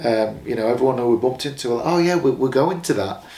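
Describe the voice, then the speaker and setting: A man with an English accent at medium pitch, ordinary pitch variation and audible room echo. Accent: English regional accent noticed by Americans. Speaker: professional boxer. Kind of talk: casual interview.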